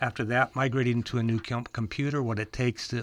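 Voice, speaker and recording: A man speaks at a very fast pace in a medium pitch, his intonation flat and monotone. The background is quiet. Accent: Upper Midwest. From small-town Minnesota. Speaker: computer repair shop owner. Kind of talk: casual radio chat.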